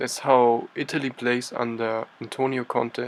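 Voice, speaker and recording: With a non-native accent, a man speaks at a moderate pace in a monotone, flat intonation. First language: not English. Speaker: football tactics youtuber. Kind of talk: tactical analysis commentary.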